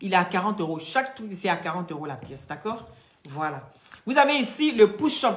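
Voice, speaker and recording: Fairly high-pitched female speech at a moderate pace, amid noticeable background noise and audible room echo. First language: not French (speaking French). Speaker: live-stream product seller. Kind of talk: sales pitch. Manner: animated.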